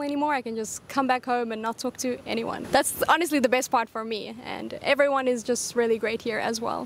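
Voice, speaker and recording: A woman speaks in a high voice with a South African accent and ordinary pitch variation. Noticeable background noise is present. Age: 20s. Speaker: expat teacher. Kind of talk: street interview.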